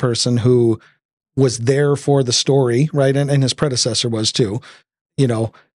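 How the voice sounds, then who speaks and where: A normal speaking voice at a moderate pace, with fairly even intonation, a dry, close sound with no echo, and a quiet background. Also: man. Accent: American. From Detroit area. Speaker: podcast host. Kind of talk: casual conversation.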